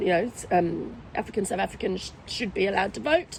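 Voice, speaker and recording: The speaker has an Australian accent. Noticeable background noise runs underneath. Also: woman. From Australia, Victoria hills (UK-born, moved as a child). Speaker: restaurant owner. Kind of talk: interview conversation. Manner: hesitant, many fillers.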